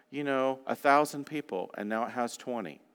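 Here is a man with a plain, everyday voice and ordinary pitch variation. He talks at a fairly quick pace on a very clean recording with a silent background. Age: 50s. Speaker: guest preacher. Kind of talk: sermon. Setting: church.

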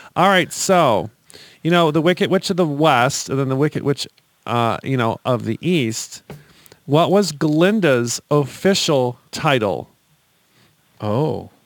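A man speaks at a fairly slow pace in a fairly high pitch, with an animated, playful tone and lively intonation. He leaves long, frequent pauses. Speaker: podcast host. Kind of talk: casual comedic chat. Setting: studio.

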